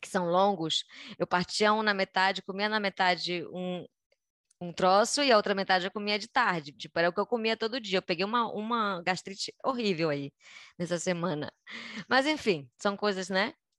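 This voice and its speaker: A woman speaks at a moderate pace in an unremarkable speaking voice, her medium pitch moving with ordinary variation against a quiet background. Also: dry, close sound with no echo. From Brazil, Belém (Pará). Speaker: dancer and artistic producer. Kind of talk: interview.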